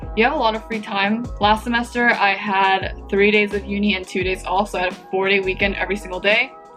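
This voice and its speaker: Music plays behind a woman with an American accent who speaks fairly quickly with ordinary pitch variation. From Japanese-American. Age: 20s. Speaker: university student. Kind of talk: casual talk to camera.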